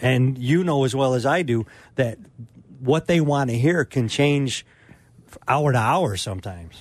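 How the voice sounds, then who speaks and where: A man talks fairly slowly at medium pitch with ordinary pitch variation. Long pauses come often. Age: 50s. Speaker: hunting pro staffer, co-host. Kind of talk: casual radio chat. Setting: radio studio.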